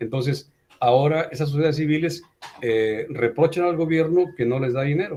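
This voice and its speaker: This man has a fairly high pitch and a dark, mellow tone. He talks at a moderate pace with ordinary pitch variation. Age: 60s. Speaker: teacher. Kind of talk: online class discussion. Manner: animated.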